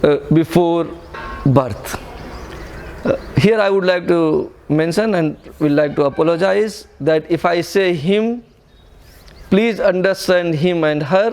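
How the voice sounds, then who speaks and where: Speaking very slowly with long, frequent pauses, a high-pitched man with an Indian accent keeps his loudness very even and his pitch variation ordinary, against noticeable background noise. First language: Hindi. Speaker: spiritual teacher. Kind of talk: lecture. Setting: retreat in an ashram.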